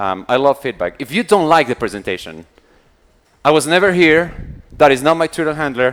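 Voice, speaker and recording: A man talks at a fairly quick pace in a fairly high pitch with lively intonation. Still, he takes long, frequent pauses. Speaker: conference speaker. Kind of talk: conference talk. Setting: stage with audience. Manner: fast; animated.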